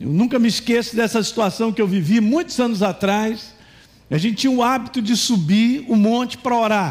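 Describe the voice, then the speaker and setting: A man talks in a high register at a moderate pace, his pitch varying in an ordinary way. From Minas Gerais, Brazil. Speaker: pastor. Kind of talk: sermon. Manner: animated.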